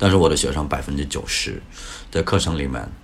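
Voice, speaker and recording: A man's very deep, low voice with audible room echo. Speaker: English teacher. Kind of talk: casual interview chat.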